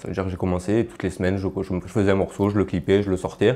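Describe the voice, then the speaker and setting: A man with a Marseille accent talks at a very fast pace in a very deep, low voice. His tone is dark and mellow, his intonation monotone and flat. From Marseille suburbs, southern France (Martigues); southern France. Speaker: rapper; guest. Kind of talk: interview. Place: home room. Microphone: lapel.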